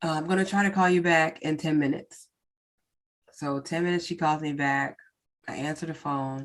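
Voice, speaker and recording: A woman talks at a fairly quick pace in a very deep, low pitch with fairly even intonation. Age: 40s. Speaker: podcast host. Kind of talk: personal testimony in solo podcast. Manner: casual, many fillers.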